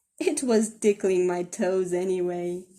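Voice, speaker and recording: A woman's put-on character voice at medium pitch, delivered at a fairly slow pace. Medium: read story. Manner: cheerful, kindly.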